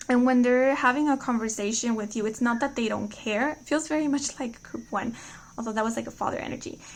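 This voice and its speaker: A woman is speaking. Her pitch is fairly high. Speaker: tarot reader. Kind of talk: tarot reading monologue. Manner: fast.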